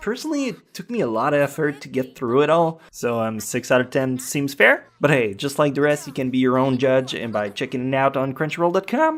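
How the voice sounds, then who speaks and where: Fairly quick speech in a French Canadian accent. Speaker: anime reviewer. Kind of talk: casual review talk to camera.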